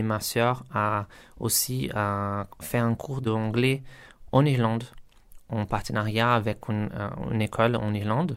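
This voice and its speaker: Recorded very cleanly against a silent background, a man with a Portuguese accent speaks fairly slowly at medium pitch. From Brazil, São Paulo. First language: Portuguese (speaking French). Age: 30s. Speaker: software test engineer and language student. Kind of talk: interview testimony. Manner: halting, many hesitations.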